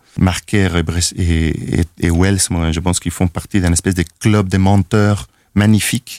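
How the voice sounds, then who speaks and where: A man speaks in a very deep, low voice with a Spanish accent. His intonation stays fairly even at a fairly slow pace. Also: dry, close sound with no echo. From Chile, Valparaíso. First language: Spanish (speaking French). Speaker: film director. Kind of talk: interview. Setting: studio. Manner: halting, many repetitions.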